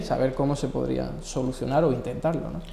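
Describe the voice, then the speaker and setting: A man's voice carries noticeable room echo as he talks at a middling speed. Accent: Andalusian. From Andalusia, Spain (Marchena, Seville; Málaga). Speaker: economist. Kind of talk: interview. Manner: hesitant fillers.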